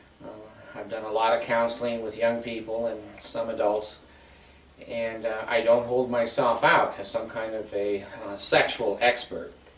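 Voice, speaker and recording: Against noticeable background noise and audible room echo, a man with a medium pitch talks at a moderate pace in a monotone, flat intonation, with big swings in loudness. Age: 60s. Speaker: counselor and video blogger. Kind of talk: informal talk to camera. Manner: halting, many fillers.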